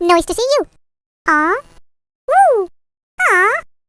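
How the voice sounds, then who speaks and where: The put-on character voice comes out squeaky and at a fairly slow pace. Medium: video game. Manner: bubbly, exclamatory.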